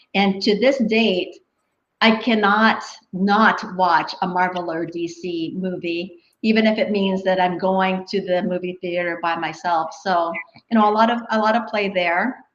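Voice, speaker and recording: A woman's voice with fairly even intonation and audible room echo. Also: medium pitch for a woman, fairly slow pace. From Canada. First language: Filipino language. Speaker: engineer turned human resources professional. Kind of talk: interview. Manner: halting, many repetitions.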